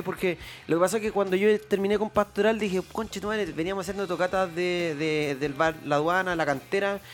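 A man with a high pitch talks at a very fast pace, with ordinary pitch variation. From Chile, Valparaíso region. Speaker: musician. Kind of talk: casual chat.

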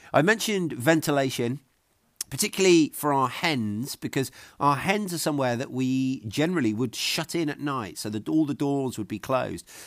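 At a moderate pace, a man with a fairly high pitch speaks in a southern English accent, in a very clean recording with a silent background. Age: 40s. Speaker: podcast host, homesteader. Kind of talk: tutorial.

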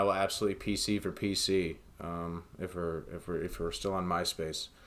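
A man in a normal speaking voice with an American accent, moderate pace and fairly even intonation, on a very clean recording with a silent background. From United States. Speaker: podcast host. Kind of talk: casual chat.

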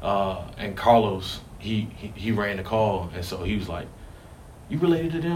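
A man's fairly low voice with lively intonation, audible room echo and noticeable background noise. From Richmond, Virginia. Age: 20s. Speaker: firefighter. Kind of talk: interview.

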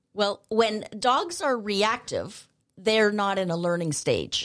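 A woman with an ordinary speaking voice talks at a medium pitch with ordinary pitch variation. The recording is very clean, with a silent background. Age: 50s. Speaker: dog training instructor. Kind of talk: casual chat. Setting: studio.

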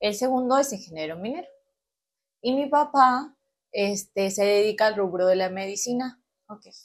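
A woman with a northern coastal Peruvian accent speaks at a fairly high pitch and a moderate pace, with lively intonation, big swings in loudness and long, frequent pauses. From Peru, Chiclayo region (Cayaltí). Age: 20s. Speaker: industrial engineer. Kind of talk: casual interview chat.

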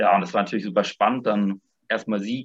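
The man has a plain, everyday voice with ordinary pitch variation. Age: 20s. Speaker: former volunteer abroad. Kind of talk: casual interview.

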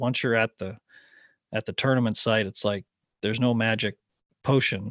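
The sound is dry and close with no echo as a man of medium pitch talks at a fairly quick pace over a quiet background. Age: 40s. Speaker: former professional golfer. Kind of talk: casual chat.

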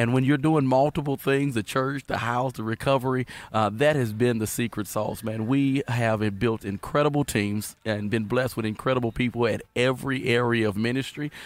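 A man with a Louisiana accent talks at a fairly quick pace and medium pitch, with fairly even intonation and hardly any pauses. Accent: US Southern (Louisiana). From Southwest Louisiana. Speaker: pastor. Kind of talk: casual chat.

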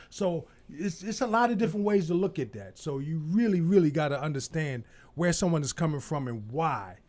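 An ordinary speaking voice, this man talks at a fairly quick pace with an American accent, lively intonation and a fairly high pitch. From Baltimore, US. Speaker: election candidate. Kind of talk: casual chat.

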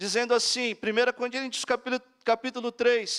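Monotone, flat intonation at a moderate pace, dry and close with no echo. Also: man. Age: 40s. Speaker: guest preacher. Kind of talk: sermon. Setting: church.

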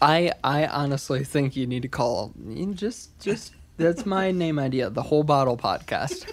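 A man's fairly high, lively voice at a fairly slow pace with hardly any pauses, an unremarkable speaking voice. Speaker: singer-songwriter. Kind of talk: casual chat.

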